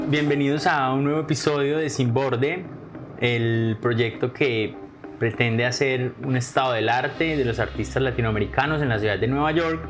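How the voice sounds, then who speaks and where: Over noticeable background noise, a man speaks at a medium pitch with very even loudness. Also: ordinary pitch variation, moderate pace. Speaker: podcast host. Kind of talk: podcast interview questions.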